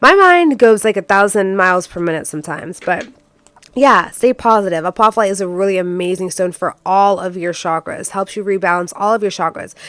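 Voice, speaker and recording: A woman talks fairly quickly in an animated tone at a medium pitch, with ordinary pitch variation. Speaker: tarot card reader. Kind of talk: pick-a-card tarot reading. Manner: fast.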